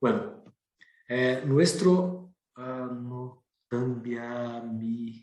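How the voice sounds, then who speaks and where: With a Brazilian accent, a man at a medium pitch and ordinary pitch variation speaks with long, frequent pauses in audible room echo. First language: Portuguese (speaking Spanish). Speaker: professor and researcher. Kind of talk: lecture. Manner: hesitant, with fillers and repetitions.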